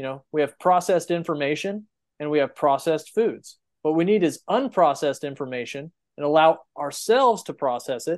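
A man's ordinary speaking voice in an American accent, fairly high in pitch with lively intonation and a fairly quick pace, set against a quiet background. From Texas Panhandle. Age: 30s. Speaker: rancher. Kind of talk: casual chat.

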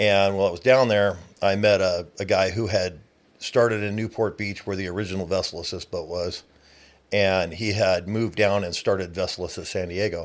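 With an ordinary speaking voice, a man talks fairly quickly at a fairly low pitch and fairly even intonation. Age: 50s. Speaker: boat towing business owner. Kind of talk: casual interview. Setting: studio.

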